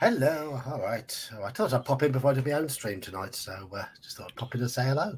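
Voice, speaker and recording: A man with an English accent talks very fast at a medium pitch with hardly any pauses, lively intonation and big swings in loudness. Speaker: fellow streamer. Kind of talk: casual chat.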